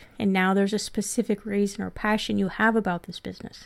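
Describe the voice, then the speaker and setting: A woman talks at a very fast pace. Her pitch is fairly high. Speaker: podcast host and 401k practice coach. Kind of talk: recorded course lesson. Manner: animated when telling her story.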